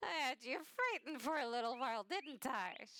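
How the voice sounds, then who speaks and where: A woman puts on a husky character voice at a high pitch. She speaks at a moderate pace. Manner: smug, mocking.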